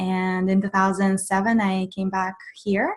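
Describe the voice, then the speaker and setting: The speaker has a Russian accent and talks at a fairly slow pace. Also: woman. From Russian Far East. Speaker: mindfulness coach. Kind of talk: webinar Q&A. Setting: online webinar.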